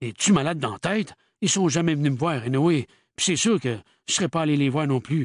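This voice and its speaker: A raspy, put-on character voice moves at a fairly quick pace with lively intonation. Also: man, fairly high pitch for a man. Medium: read story. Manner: curt, tight-lipped, swearing.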